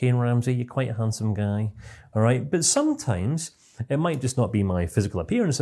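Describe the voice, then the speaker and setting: A man with a Scottish accent, dark and mellow in tone, somewhat breathy, at a fairly quick pace with very wide pitch swings. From Scotland. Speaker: CBT trainer. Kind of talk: online course lecture. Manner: fast.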